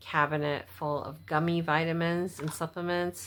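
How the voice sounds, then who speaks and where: A woman speaks at a fairly slow pace with a fairly low pitch. The recording is very clean, with a silent background. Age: 50s. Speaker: vlogger. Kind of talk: casual vlog monologue. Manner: halting, stutters.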